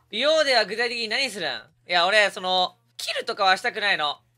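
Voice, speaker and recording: Raising and projecting his voice, a man speaks with a bright, sharp tone and lively intonation. His pace is moderate, and the background is quiet. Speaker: streamer. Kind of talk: casual live-stream chat. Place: home room. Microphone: studio mic.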